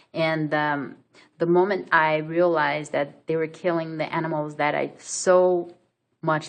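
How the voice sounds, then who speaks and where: Her intonation is monotone and flat, and she speaks at a fairly slow pace. The woman has a very deep, low voice with a Brazilian accent. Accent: Brazilian accent, non-native English. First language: Portuguese. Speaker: vlogger. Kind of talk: personal story vlog. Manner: hesitant, many fillers.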